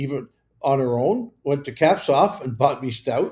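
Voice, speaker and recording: With a Canadian accent, a man talks at a fairly slow pace in a fairly high pitch. His voice is somewhat breathy and his intonation lively. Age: 70s. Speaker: mayor. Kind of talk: casual chat. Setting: livestream. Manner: chatty, rambling.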